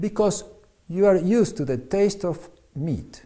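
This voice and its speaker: A man with a Spanish accent, dark and mellow in tone, at a fairly slow pace. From Argentina. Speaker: physician and author. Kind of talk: reading aloud.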